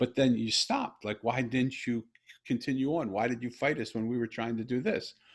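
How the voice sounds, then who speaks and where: A man speaks with an American accent at a fairly quick pace, in a plain, everyday voice with medium pitch. His intonation stays fairly even against a quiet background. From US. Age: 60s. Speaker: podcast host. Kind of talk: casual conversation.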